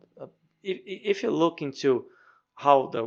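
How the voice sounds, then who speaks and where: A man's fairly slow speech with a Brazilian Portuguese accent. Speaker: professor and hobby game programmer. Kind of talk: devlog narration. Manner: halting, frequent word repetitions.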